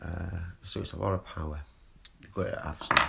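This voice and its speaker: A man whispers with a British accent. Noticeable background noise runs behind him. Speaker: vlogger. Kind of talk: casual monologue. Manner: whispering; rambling, hesitant.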